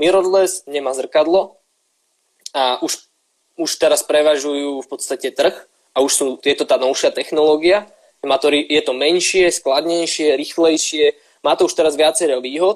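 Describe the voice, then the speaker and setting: A man's normal speaking voice, fairly high in pitch, at a moderate pace with fairly even intonation. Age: 20s. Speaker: photographer and student. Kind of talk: casual live-stream interview.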